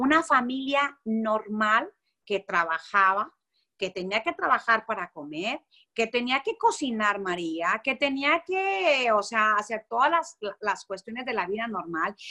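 A woman with a fairly high pitch and a bright, sharp tone speaks at a fairly slow pace with lively intonation in a dry, close sound with no echo. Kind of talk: religious teaching in conversation.

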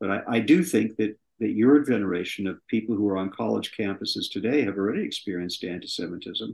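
With an American accent, a man talks at a very fast pace with hardly any pauses, at a fairly low pitch with vocal fry and ordinary pitch variation. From US West Coast (southern California). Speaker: screenwriter and producer. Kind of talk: interview.

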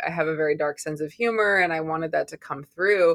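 A woman with an American accent speaks at a fairly low pitch, with ordinary pitch variation and a plain, everyday voice. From Massachusetts, outside Boston. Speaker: author and writing teacher. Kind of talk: interview.

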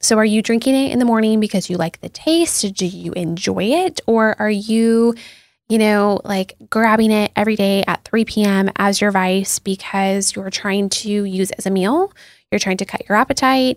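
A woman with an American accent uses a normal speaking voice at a medium pitch, talking at a moderate pace with ordinary pitch variation. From US Pacific Northwest, Seattle. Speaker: dietitian. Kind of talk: interview. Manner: frequent fillers (um, like).

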